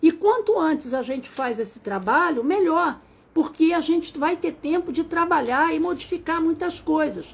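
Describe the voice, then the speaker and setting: Lively in intonation, a woman speaks at an extremely high pitch. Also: moderate pace. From Rio de Janeiro, Brazil. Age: 60s. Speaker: numerologist. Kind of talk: live stream talk. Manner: halting.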